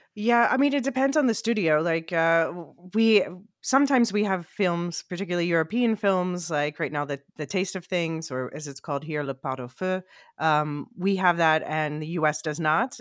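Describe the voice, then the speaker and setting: A woman speaks in an ordinary speaking voice, fairly low-pitched for a woman, with lively intonation at a moderate pace. The sound is dry and close with no echo, and the recording is very clean against a silent background. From US, Philadelphia. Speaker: podcast co-host. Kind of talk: casual chat.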